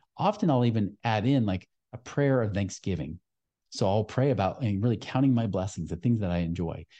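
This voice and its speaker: Here a man talks at a fairly quick pace. His pitch is fairly low, with ordinary variation. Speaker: financial podcast host. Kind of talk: solo podcast monologue. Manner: sometimes fast.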